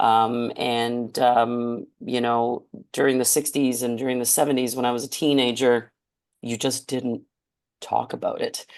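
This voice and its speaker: Someone speaks at a fairly slow pace with a Canadian accent. The background is quiet. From Canada, Hamilton, Ontario. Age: 60s. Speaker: charity auctioneer and keynote speaker. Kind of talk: podcast interview. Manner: hesitant, many fillers.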